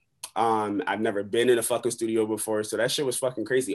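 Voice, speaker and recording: This man's voice sits at a medium pitch. He talks at a fairly quick pace over a quiet background. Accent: American. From Buffalo, New York. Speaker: rapper and middle school teacher. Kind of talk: casual interview. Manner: animated.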